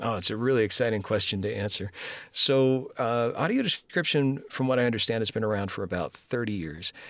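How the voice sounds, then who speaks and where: A man speaks at a medium pitch with a plain, everyday voice, his pitch varying an ordinary amount. He talks at a fairly quick pace on a very clean recording with a silent background. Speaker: voice actor and audio description narrator. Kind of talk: interview conversation.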